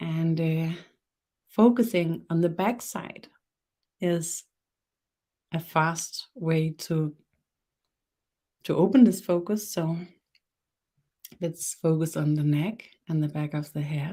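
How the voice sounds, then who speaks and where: A woman speaks very slowly at a fairly low pitch, with a dark, mellow tone. Her pitch varies in an ordinary way, and she takes long, frequent pauses. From Denmark. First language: Danish. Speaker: spiritual teacher. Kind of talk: guided meditation; webinar talk. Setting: live stream webinar. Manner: halting.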